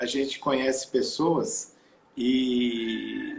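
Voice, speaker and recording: Lively intonation marks a man's somewhat breathy speech. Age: 60s. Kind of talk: interview.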